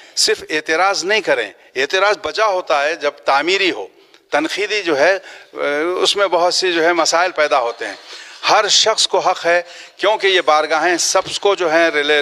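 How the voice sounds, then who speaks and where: With noticeable background noise behind him, a man talks in a high pitch with ordinary pitch variation. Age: 60s. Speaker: trust organiser and community worker. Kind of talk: media interview appeal. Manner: halting with filler phrases.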